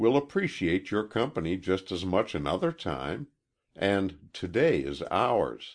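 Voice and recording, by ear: Against quiet surroundings, the speaker is reading aloud in a natural voice.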